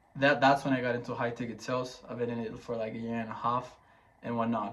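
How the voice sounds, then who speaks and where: A very fast, monotone male voice with flat intonation and audible room echo. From Chile. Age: 20s. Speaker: online salesman and vlogger. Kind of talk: casual monologue vlog. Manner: casual, many filler words.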